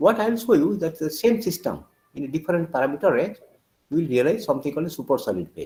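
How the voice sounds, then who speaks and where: A man races along at a very fast pace, his fairly high voice swinging very widely in pitch and touched with vocal fry. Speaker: professor. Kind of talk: lecture.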